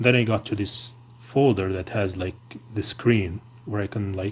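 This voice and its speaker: The delivery has a moderate pace. There is a somewhat breathy quality to the voice. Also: man. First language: non-English. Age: 20s. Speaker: tech streamer. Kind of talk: casual chat. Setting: live stream. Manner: hesitant, many fillers.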